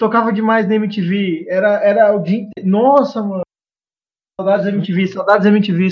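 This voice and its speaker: A man talks at a moderate pace in a high pitch. His intonation is fairly even. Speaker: podcast guest. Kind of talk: casual chat.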